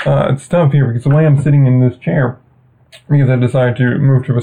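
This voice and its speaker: The speech is very fast, with noticeable background noise. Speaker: baseball podcast host. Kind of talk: casual commentary. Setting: small room.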